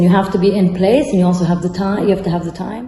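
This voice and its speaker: Against noticeable background noise, a woman speaks at a medium pitch in a monotone, flat intonation. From Rome, Italy. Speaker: architect and architecture professor. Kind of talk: interview answer.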